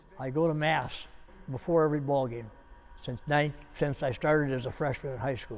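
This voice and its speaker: Music plays in the background. Over it, a man speaks at a moderate pace. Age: 80s+. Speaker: basketball coach. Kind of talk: interview answer.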